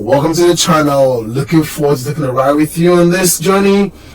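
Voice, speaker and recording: The pitch varies in an ordinary way. Noticeable noise sits in the background. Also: man. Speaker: car channel YouTuber. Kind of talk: casual vlog introduction. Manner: casual with filler words.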